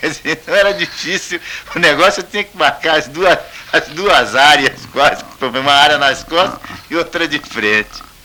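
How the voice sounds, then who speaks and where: Over noticeable background noise, the voice moves at a moderate pace with ordinary pitch variation and big swings in loudness. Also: man, fairly high pitch for a man. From Campinas, São Paulo, Brazil. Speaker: retired football goalkeeper. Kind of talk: radio interview answer.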